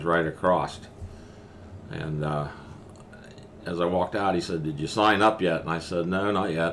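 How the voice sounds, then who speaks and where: A man with a western Pennsylvania accent, a very deep, low pitch and fairly even intonation, set in audible room echo. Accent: western Pennsylvania American. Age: 70s. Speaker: war veteran. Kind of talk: interview. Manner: halting.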